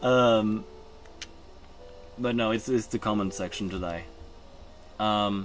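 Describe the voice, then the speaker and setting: Over music in the background, a man with a fairly low pitch and fairly even intonation speaks at a very slow pace with long, frequent pauses. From Norway. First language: Norwegian. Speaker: streamer. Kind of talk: casual live-stream chat. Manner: halting.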